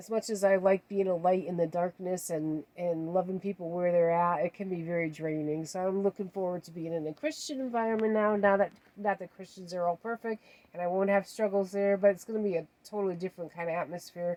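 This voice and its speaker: A woman at a medium pitch talks at a fairly quick pace with fairly even intonation and hardly any pauses. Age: 60s. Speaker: vlogger. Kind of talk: personal vlog update. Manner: hesitant, many fillers.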